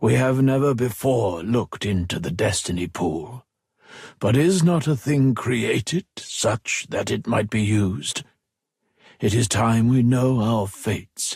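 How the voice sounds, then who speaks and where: A man puts on a character voice at medium pitch. He goes at a fairly slow pace with lively intonation. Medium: read story. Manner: hushed, measured.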